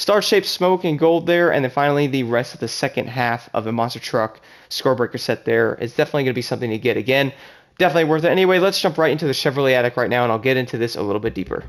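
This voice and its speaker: A man talks at a very fast pace with a medium pitch and lively intonation on a very clean, silent recording. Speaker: gaming YouTuber. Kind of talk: gameplay commentary. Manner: enthusiastic.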